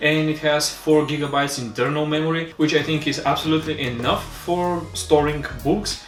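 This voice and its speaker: A man with a Bulgarian accent, fairly high pitch, fairly even intonation, moderate pace and hardly any pauses, with audible room echo and music in the background. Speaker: tech reviewer. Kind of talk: product review. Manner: halting.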